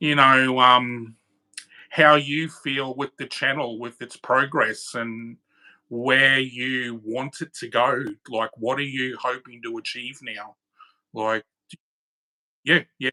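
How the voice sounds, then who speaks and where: A man speaks very slowly in an Australian accent, leaving long, frequent pauses, in a monotone, flat intonation. His loudness swings widely, and the sound is dry and close with no echo. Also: medium pitch for a man. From Australia (Queensland). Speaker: channel moderator. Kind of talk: casual chat. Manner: halting.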